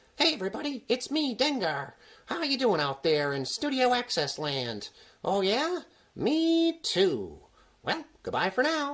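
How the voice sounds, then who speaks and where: Using a put-on character voice, the speaker talks at a fairly slow pace with a fairly high pitch. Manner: cheerful, playful host.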